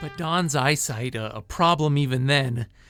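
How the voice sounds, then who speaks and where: Music plays behind a man whose voice is fairly high in pitch. He talks at a moderate pace with ordinary pitch variation. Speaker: TV news reporter. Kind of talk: TV news report narration.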